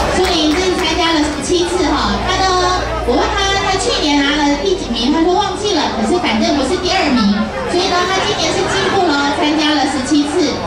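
Amid crowd noise and audible room echo, a woman talks at a fairly quick pace with ordinary pitch variation. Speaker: event emcee. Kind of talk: award announcement. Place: hall.

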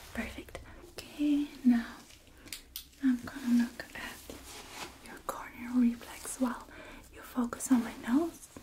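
A soft-spoken woman with a high pitch, monotone, flat intonation, a very slow pace, and long, frequent pauses over light background noise. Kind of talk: soft-spoken role-play instructions. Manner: soft, close, hushed speech. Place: home room.

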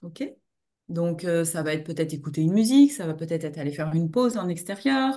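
Over a quiet background, a woman with a dark, mellow tone talks at a fairly quick pace with lively intonation. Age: 50s. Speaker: trainer and coach; trainer, coach. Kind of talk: webinar presentation. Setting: online webinar. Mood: warm, engaged. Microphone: video call.

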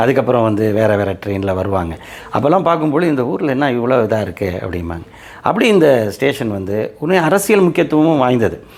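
The speaker's pitch swings very widely over noticeable background noise. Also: man, medium pitch for a man. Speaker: local history YouTuber. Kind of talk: talk to camera about local history. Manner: halting, with pauses and fillers.

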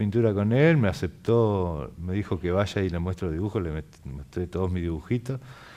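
Lively in intonation, a man talks at a moderate pace in a dark, mellow, fairly low voice. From Argentina, Chubut (Patagonia); Chubut, Argentina. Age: 40s. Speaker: muralist painter; guest. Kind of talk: interview. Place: studio. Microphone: headset.

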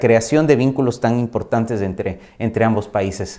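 Over a quiet background, a man talks at a moderate pace in a dark, mellow tone with ordinary pitch variation. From Ecuador. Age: 40s. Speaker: insurance company manager; guest. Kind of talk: interview monologue; interview answer. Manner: halting, with fillers. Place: home room.

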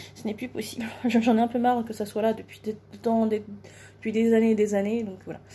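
A somewhat breathy woman's voice, fairly high in pitch with a dark, mellow tone, monotone and flat, at a fairly quick pace broken by long, frequent pauses. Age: 30s. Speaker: beauty vlogger. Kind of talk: makeup tutorial. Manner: hesitant, many fillers. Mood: relaxed, chatty. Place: home room. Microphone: phone near.

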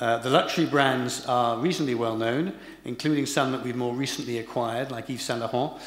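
Speaking at a fairly quick pace with ordinary pitch variation, a man is heard with audible room echo. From England. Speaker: corporate HR executive. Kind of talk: lecture. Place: hall. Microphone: podium.

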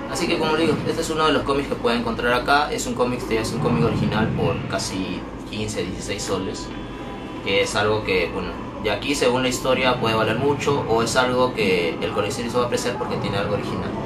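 Over clear background noise, a man talks fast at a medium pitch with ordinary pitch variation.

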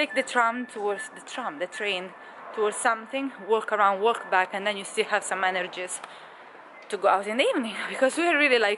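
Noticeable background noise is present. The talking moves at a fairly quick pace. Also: woman. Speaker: travel vlogger. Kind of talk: casual vlog chat. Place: street. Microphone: phone near.

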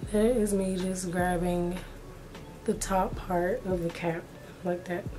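A woman speaks very slowly at a medium pitch, her intonation monotone and flat. Audible room echo and noticeable background noise fill the recording. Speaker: beauty YouTuber. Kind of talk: tutorial.

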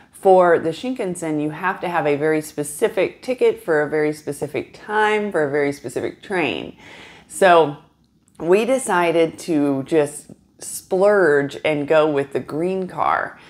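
A woman speaks at a fairly slow pace. Her pitch is fairly low. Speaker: travel vlogger. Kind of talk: casual vlog chat. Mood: relaxed, chatty. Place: home room.

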